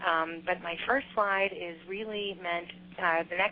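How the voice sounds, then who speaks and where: With a Chicago accent, a woman speaks at a moderate pace in a fairly low pitch. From US Midwest, Chicago. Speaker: government trade official. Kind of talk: business presentation. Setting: teleconference. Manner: halting, many fillers.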